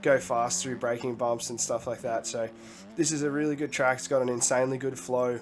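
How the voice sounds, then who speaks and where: A man's medium-pitched voice with fairly even intonation, music in the background. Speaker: gaming video creator. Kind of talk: casual gaming commentary.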